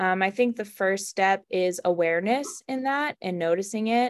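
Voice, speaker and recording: Over a very clean recording with a silent background, a woman with an unremarkable speaking voice talks at a fairly slow pace in a medium pitch. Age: 20s. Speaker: recovery coach for teens and young adults. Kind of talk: interview.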